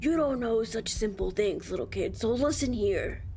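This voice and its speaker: This put-on character voice sounds female, gravelly and fairly high-pitched, moving at a moderate pace over clear background noise. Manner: condescending.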